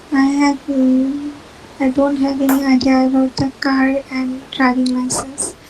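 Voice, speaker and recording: A woman with a Bengali accent speaks at a fairly slow pace in a high pitch, her intonation monotone and flat, over noticeable background noise. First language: Bangla. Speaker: IELTS student. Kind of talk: mock speaking test answers. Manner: halting.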